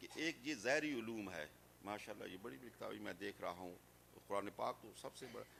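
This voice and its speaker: Bright and sharp in tone, the voice has vocal fry and lively intonation. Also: man. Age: 60s. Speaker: Islamic scholar. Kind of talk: religious speech. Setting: madrasa gathering.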